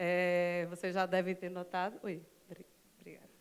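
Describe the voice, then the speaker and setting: Here a woman speaks with a medium pitch. Her pace is moderate. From Recife, Pernambuco, Brazil. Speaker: public IT company manager, panel speaker. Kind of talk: conference talk. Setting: stage with audience.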